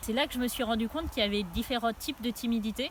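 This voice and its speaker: There is vocal fry in this woman's fairly high voice. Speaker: author. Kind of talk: personal testimony. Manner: some hesitations.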